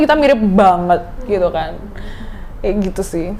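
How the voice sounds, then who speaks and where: A woman with a Javanese accent talks at a moderate pace with very wide pitch swings. Noticeable background noise can be heard. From Surabaya, East Java, Indonesia. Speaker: influencer, content creator. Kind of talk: podcast interview answer. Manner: playful, joking.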